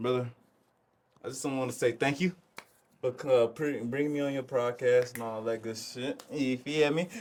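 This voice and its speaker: A man at a moderate pace and medium pitch, fairly even intonation, with long, frequent pauses. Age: 20s. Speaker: clothing brand co-founder. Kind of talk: casual chat.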